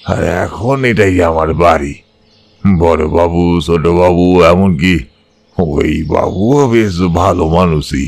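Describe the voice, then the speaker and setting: A put-on character voice from a man, pitched very deep and low, delivered very slowly. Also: ordinary pitch variation. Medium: audio drama. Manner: humble, deferential.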